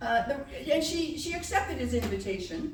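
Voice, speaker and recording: Noticeable background noise and audible room echo around a woman's moderately paced voice. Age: old. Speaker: pianist and storyteller. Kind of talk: stage storytelling between piano pieces. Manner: animated. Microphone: no microphone working at first.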